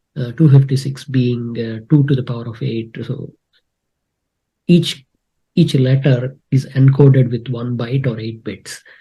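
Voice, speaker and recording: In a Telugu accent, a man with a dark, mellow, somewhat breathy tone speaks at medium pitch and a fairly slow pace, with fairly even intonation and big swings in loudness. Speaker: spreadsheet expert, content creator. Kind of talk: live tutorial / screen-share challenge. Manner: hesitant with many fillers.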